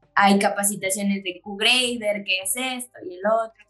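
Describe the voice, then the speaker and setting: Music in the background behind a woman speaking at a fairly slow pace in a fairly high voice. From Chiapas, Mexico. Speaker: specialty coffee business owner. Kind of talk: casual interview.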